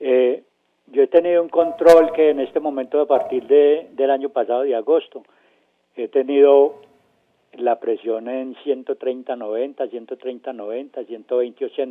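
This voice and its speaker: Here is a man with a plain, everyday voice. He speaks at a fairly slow pace and fairly high pitch. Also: fairly even intonation. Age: 60s. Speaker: caller.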